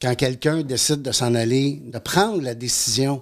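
A man talks at a very slow pace with a fairly high pitch. The background is quiet. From Quebec. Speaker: addiction therapist and NLP coach. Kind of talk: casual interview. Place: studio. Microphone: studio mic.

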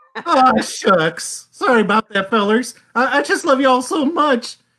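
Moderate pace and fairly high pitch in a put-on character voice. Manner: folksy, aw-shucks.

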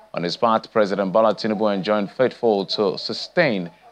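Over faint music in the background, a man speaks at a fairly low pitch and fairly quick pace with ordinary pitch variation. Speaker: news anchor. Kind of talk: news reading. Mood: calm, festive greeting. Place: studio. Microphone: lapel.

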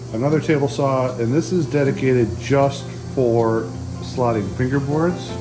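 A man talks with ordinary pitch variation while clear music is heard in the background. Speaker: program instructor giving tour. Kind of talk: casual tour commentary. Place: workshop. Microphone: phone near.

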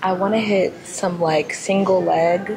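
Noticeable background noise accompanies a woman's speech. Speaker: fitness vlogger. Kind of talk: casual vlog chat. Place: gym.

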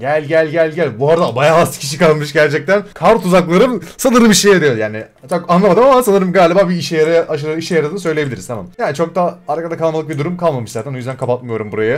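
The speaker races along at a very fast pace with lively intonation. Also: man. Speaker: gaming YouTuber. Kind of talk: casual gaming commentary. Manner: animated.

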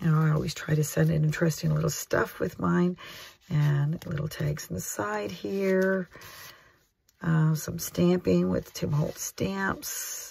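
Her voice very deep and low, a woman talks at a fairly slow pace, somewhat breathy, with very wide pitch swings. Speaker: crafting channel creator. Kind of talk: casual show-and-tell; casual show-and-tell narration. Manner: hesitant, many fillers. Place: home room. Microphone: phone near.

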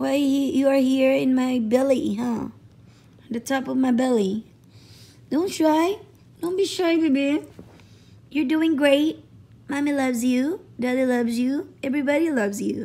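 The speech moves at a fairly slow pace. Long pauses come often. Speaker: pet owner vlogger. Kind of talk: casual vlog chat, talking to pet. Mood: affectionate, soft baby talk. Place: home room. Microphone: phone near.

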